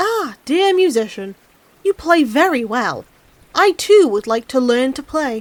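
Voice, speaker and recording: A woman speaks in a put-on character voice, high-pitched and at a fairly slow pace. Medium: read story.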